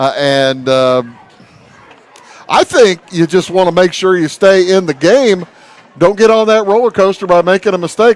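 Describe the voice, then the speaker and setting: A loud man with a high pitch speaks at a moderate pace with lively intonation. He leaves long, frequent pauses, and noticeable background noise can be heard. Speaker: sports play-by-play announcer. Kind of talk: live sports commentary.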